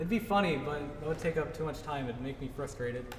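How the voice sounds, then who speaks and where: Talking at a very fast pace, a man has a fairly high pitch. Room echo is audible, and background noise is noticeable. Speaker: game developer giving a talk. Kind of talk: tutorial talk at a meetup. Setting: live presentation to a meetup audience. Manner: casual, many fillers.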